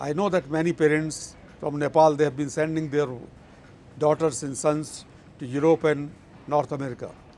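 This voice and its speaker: A man speaks at a moderate pace with long, frequent pauses, in a fairly high pitch and a dark, mellow tone. His intonation is monotone and flat, over light background noise. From India. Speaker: business school director. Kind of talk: interview. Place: garden. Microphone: lapel.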